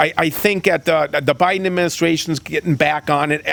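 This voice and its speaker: A fairly high-pitched male voice with fairly even intonation amid noticeable background noise. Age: 60s. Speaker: state senator. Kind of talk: interview. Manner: halting, many repetitions.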